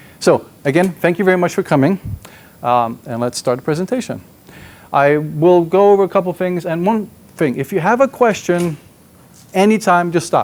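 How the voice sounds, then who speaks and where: Lively intonation marks the man's speech. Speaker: software engineer presenting at a tech conference. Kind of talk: conference talk. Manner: fast; excited, jittery.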